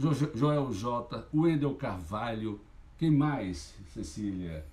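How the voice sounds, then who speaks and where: Over audible room echo, a man with a medium pitch talks very slowly in a somewhat breathy voice, with very wide pitch swings. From Sergipe, Brazil. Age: 50s. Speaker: journalist and local political candidate. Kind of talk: campaign launch livestream speech. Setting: livestream. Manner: impassioned.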